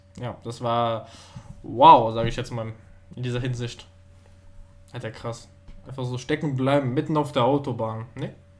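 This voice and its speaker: Delivered at a moderate pace with fairly even intonation, the speech has long, frequent pauses and big swings in loudness. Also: man, medium pitch for a man. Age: young. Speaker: podcast co-host. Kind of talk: casual chat.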